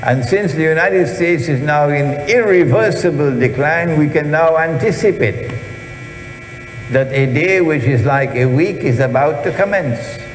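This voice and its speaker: Recorded with audible room echo and noticeable background noise, a man with a fairly high pitch keeps his loudness very even. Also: ordinary pitch variation, moderate pace. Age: 70s. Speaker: Islamic scholar and lecturer. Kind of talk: lecture. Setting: auditorium with audience.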